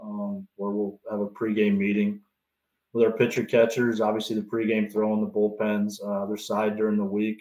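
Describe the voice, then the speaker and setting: A man speaks in a fairly low pitch with a Canadian accent. His intonation is monotone and flat. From Canada. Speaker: baseball pitching coach. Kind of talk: podcast interview. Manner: halting, many fillers.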